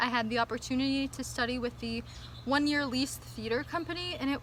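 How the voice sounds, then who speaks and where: Against noticeable background noise, a woman speaks at a high pitch with lively intonation and an animated tone. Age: 20s. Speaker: vlogger and theater performer. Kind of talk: casual chat. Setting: outdoors.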